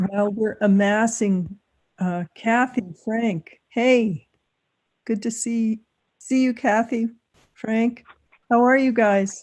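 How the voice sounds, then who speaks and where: The speech is very slow and somewhat breathy, with long, frequent pauses. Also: woman, fairly high pitch for a woman, fairly even intonation. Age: 60s. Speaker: town board meeting chair. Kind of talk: casual chat before a public meeting.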